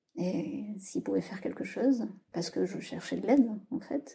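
Her tone dark, mellow and somewhat breathy, a woman speaks at a fairly slow pace with a fairly high pitch. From southwest France. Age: 30s. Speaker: writing workshop leader. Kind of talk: testimony. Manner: hesitant, with many fillers and repetitions.

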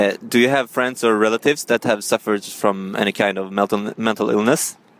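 With a Swedish accent, the speaker talks at a fairly quick pace with fairly even intonation in a dry, close sound with no echo. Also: man. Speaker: podcast host interviewing passers-by. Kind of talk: street vox-pop interview. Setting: outdoor street interviews on portable recorder. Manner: halting, non-fluent English.

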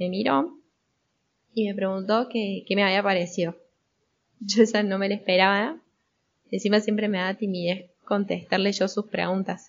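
Speaking at a moderate pace with an Argentine accent, a woman uses a medium pitch and fairly even intonation, pausing long and often. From Argentina. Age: 20s. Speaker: storyteller sharing a family memory. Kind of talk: personal storytelling.

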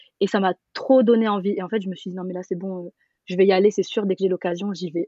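The voice is an ordinary speaking voice, delivered with fairly even intonation. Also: woman. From Paris, France. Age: 20s. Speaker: traveller. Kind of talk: casual chat.

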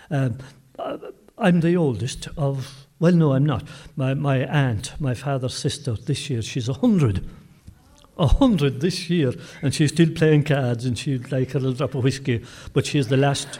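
The voice has a dark, mellow tone and sounds somewhat breathy. It moves at a fairly slow pace with ordinary pitch variation. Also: man, fairly high pitch for a man. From Kerry, Ireland. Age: 70s. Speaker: storyteller and folklore collector. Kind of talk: casual interview chat.

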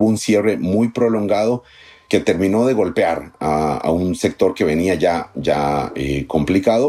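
A man speaks very slowly in a very deep, low voice with a dark, mellow tone and lively intonation. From Costa Rica, Poás (rural, near San José). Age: 40s. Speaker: journalist. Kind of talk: interview. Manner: halting, repeats words.

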